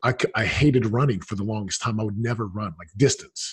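The speech comes at a very fast pace in an animated tone. The voice is somewhat breathy. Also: man. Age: 40s. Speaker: retired NFL player turned real estate entrepreneur. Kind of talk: interview.

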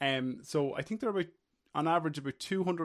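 Very fast speech comes from a man with an Irish accent. His pitch varies in an ordinary way. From Ireland. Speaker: workplace safety officer. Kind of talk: casual chat.

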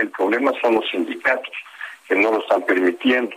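Noticeable noise sits behind this man. His speech moves fairly quickly. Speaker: international relations professor. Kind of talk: interview.

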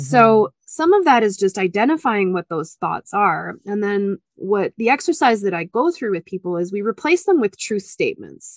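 A woman speaks at medium pitch with very wide pitch swings and hardly any pauses. The sound is dry and close, with no echo. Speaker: media coach, former journalist. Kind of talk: interview conversation. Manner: loud and fast when excited; animated.

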